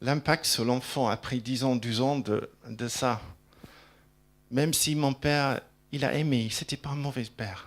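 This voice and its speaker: A man with a slight English accent speaks at medium pitch with fairly even intonation. His delivery has long, frequent pauses on a very clean recording with a silent background. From England. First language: English (speaking French). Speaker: preacher. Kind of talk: sermon. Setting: church. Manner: halting, repeats words.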